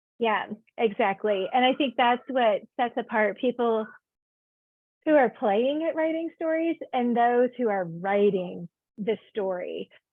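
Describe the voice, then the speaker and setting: A woman speaks in a Southern US accent at a high pitch. Her pace is fairly slow and her intonation lively. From US South, Georgia. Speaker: author and interviewer. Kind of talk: interview.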